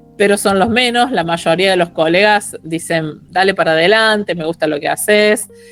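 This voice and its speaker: Music plays in the background as a woman speaks at a moderate pace with hardly any pauses. Her medium-pitched voice shows ordinary pitch variation. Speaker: geologist and science communicator. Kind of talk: casual chat.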